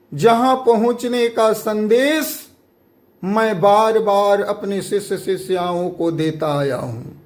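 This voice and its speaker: A man with a high pitch speaks at a very slow pace, his intonation lively. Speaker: guru. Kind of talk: sermon.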